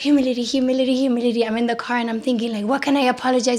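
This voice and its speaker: A loud woman with a high pitch speaks in an animated tone. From Puerto Rico. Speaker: psychotherapist. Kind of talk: podcast interview.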